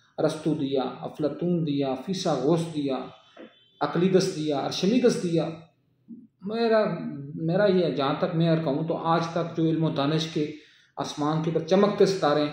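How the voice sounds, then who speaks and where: A man speaks with a plain, everyday voice at a fairly high pitch. His pitch varies in an ordinary way. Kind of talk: political commentary talk.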